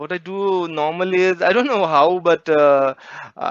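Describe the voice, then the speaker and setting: Against a quiet background, a man with a Marathi accent talks with ordinary pitch variation. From India, Marathi-speaking region. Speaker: poet. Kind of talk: interview.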